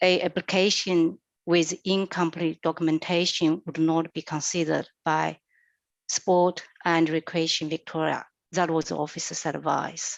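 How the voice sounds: A woman speaks at a fairly slow pace in a low register with vocal fry and little pitch movement, her sound dry and close with no echo.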